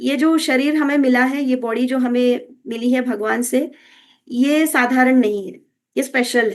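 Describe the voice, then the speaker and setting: A high-pitched woman with a Kannada accent, fairly even intonation and big swings in loudness. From Karnataka, India. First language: Kannada (speaking Hindi). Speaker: wellness coach. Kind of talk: health talk. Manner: Hindi-English code-switching with filler hesitations.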